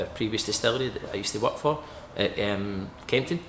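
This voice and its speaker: A man with a fairly low pitch rushes through his words very fast as noticeable background noise plays. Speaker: distillery owner. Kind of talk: interview chat.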